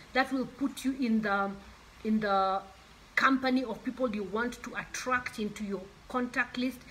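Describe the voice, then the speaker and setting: With noticeable background noise behind her, a woman speaks at a fairly slow pace and with fairly even intonation. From Kenya. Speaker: author. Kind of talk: motivational talk.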